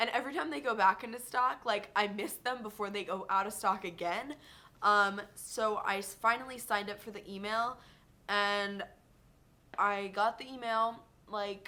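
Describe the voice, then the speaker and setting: A woman speaks in an animated, bright and sharp tone, her loudness swinging widely. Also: medium pitch for a woman, ordinary pitch variation. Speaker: beauty vlogger. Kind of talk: casual product review vlog. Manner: fast. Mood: chatty, enthusiastic. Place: home room. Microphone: webcam.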